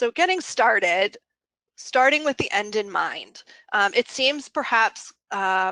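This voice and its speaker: Speaking very slowly, a woman with a fairly high, bright, sharp voice makes very wide pitch swings. The sound is dry and close with no echo against a quiet background. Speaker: consultant presenting a webinar. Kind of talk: webinar presentation. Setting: online webinar.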